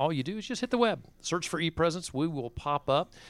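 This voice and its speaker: A plain, everyday voice with lively intonation. The recording is very clean and silent in the background, dry and close with no echo. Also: man. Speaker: radio host. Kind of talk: radio interview. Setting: studio.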